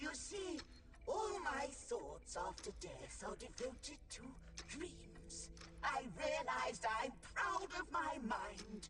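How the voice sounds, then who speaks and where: The put-on character voice moves at a very slow pace. A slight echo and clear background noise are audible. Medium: video game. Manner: musing, professorial.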